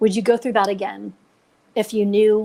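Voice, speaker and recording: An unremarkable speaking voice with an American accent moves at a fairly quick pace with fairly even intonation. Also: woman. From Nevada. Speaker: retired coast guard aircrew, crash survivor. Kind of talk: podcast interview storytelling.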